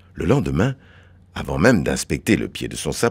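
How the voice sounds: Someone reads aloud in a natural reading voice.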